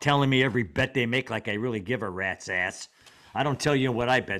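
The speaker talks at a very fast pace with an American accent and ordinary pitch variation. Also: man. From Cleveland, Ohio. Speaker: sports writer, host's father. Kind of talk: casual chat, storytelling. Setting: remote recording with headphones. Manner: chatty, joking.

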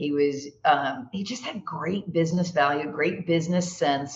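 Talking at a moderate pace, a woman has an unremarkable speaking voice. Her pitch is fairly low. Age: 60s. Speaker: executive coach and speaker. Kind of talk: casual interview.

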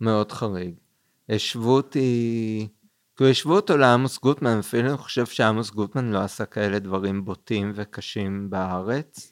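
Recorded very cleanly against a silent background, a man with a fairly low pitch talks at a moderate pace with ordinary pitch variation and a dry, close sound with no echo. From Israel, Kfar Saba. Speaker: film festival director. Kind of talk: casual interview.

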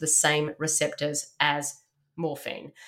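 A woman is speaking. Her pitch sits fairly low. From Canada. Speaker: holistic health practitioner and author. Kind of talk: casual interview.

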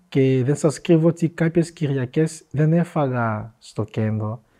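A man speaks at a medium pitch with a dark, mellow tone. His pitch varies in an ordinary way over a quiet background. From DR Congo. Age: 20s. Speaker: entrepreneur, former refugee. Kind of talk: interview, personal life story.

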